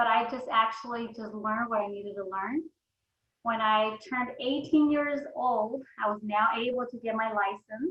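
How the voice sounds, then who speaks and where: Fairly even intonation and a moderate pace mark an unremarkable speaking voice. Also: woman, fairly high pitch for a woman. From Mexico, moved to US at eleven. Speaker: insurance agency founder, entrepreneur. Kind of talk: podcast interview.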